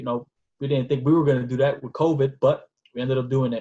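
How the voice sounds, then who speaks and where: Speaking fairly quickly with a New York accent, a man has a somewhat breathy, medium-pitched voice. The sound is dry and close, with no echo. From New York City (Bronx). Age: 20s. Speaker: nonprofit founder, former basketball player. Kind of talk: podcast interview.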